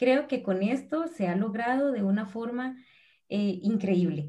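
This woman speaks with a Costa Rican accent and lively intonation. Her tone is dark and mellow. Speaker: preschool teacher. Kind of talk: live-stream panel conversation.

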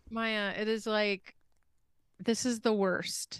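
A woman talks at a very slow pace. Her pitch is fairly high. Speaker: podcast co-host. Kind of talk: casual chat. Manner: animated.

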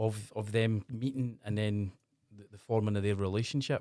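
In a Glasgow accent, a man talks at a moderate pace with a fairly low pitch and fairly even intonation, on a very clean recording with a silent background. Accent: Scottish (Glasgow area). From Scotland, northeast of Glasgow. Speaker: podcast host. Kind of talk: casual interview. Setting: small studio.

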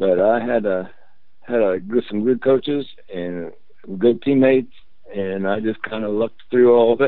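A man speaks with a Midwestern US accent at medium pitch. His pace is moderate and his pitch varies in an ordinary way. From Indiana, Muncie. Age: 70s. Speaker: former basketball player. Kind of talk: interview. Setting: phone call.

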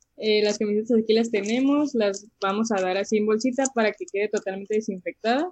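An unremarkable speaking voice from a woman, fairly high in pitch, at a fairly quick pace with ordinary pitch variation. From Mexicali, Baja California, Mexico. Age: 20s. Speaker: cook and food social media creator. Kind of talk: casual interview chat.

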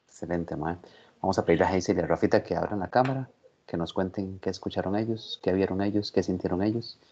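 Very fast in pace, a man speaks in a very deep, low voice with a dark, mellow tone and fairly even intonation. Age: 40s. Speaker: podcast host. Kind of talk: casual interview chat.

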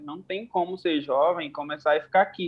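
A man is speaking. His pace is fairly quick. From Bahia, Brazil. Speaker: hairdresser and makeup artist. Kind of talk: casual chat.

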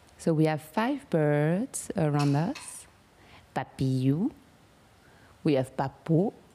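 In a French accent, a woman speaks very slowly with long, frequent pauses, a very deep, low pitch, a dark, mellow tone, lively intonation and very even loudness. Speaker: meditation guide. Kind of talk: guided meditation. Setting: home with pet birds nearby.

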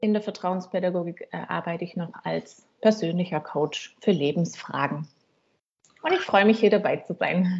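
At a moderate pace, a woman speaks in a somewhat breathy voice of medium pitch with ordinary pitch variation. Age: 40s. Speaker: coach and counselor. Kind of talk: casual interview.

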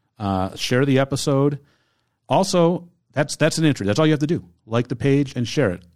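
An ordinary speaking voice moves at a fairly quick pace with lively intonation. The recording is very clean and the background silent. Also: man, fairly high pitch for a man. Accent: American. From Michigan, Detroit downriver area. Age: 40s. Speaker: podcast host. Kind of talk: casual chat; giveaway announcement.

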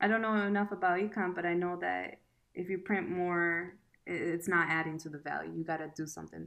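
A woman with an unremarkable speaking voice talks at a fairly quick pace with a fairly low pitch. Her intonation is fairly even against a quiet background. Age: 20s. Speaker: student and podcast guest. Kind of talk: casual chat.

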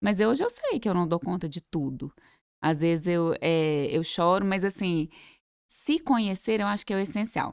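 A woman with an ordinary speaking voice talks at medium pitch and a moderate pace with lively intonation, the recording very clean and silent, dry and close with no echo. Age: 30s. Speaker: entrepreneur and mother. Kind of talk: casual interview.

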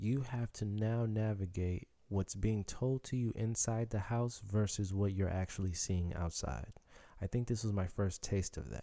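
The man's voice is fairly low, dark and mellow, on a very clean recording with a silent background. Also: ordinary pitch variation, moderate pace. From Chicago, US. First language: Haitian Creole. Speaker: podcaster telling life story. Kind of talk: personal storytelling monologue.

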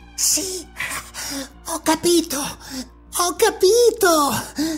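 A put-on character voice at an extremely high pitch speaks at a very slow pace, with faint music in the background. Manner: shouting, exalted.

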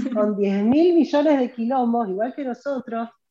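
A woman's high-pitched voice with a Rioplatense accent and ordinary pitch variation. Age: 40s. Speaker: professional organizer and content creator. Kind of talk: interview conversation.

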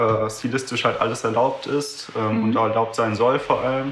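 A man talks in a medium pitch with a monotone, flat intonation. Noticeable background noise and audible room echo surround him. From Düsseldorf, Germany. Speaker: pianist and event organizer. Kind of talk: casual interview.

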